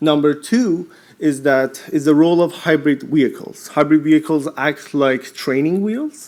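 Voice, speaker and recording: This man has a Persian accent and a fairly high pitch. He speaks at a moderate pace. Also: ordinary pitch variation. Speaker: postdoctoral researcher. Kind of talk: short conference pitch.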